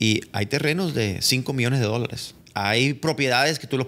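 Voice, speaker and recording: A man's bright, sharp tone at a fairly slow pace, with ordinary pitch variation. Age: 40s. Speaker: entertainment lawyer. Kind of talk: casual chat. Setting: studio. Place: office. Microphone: studio mic.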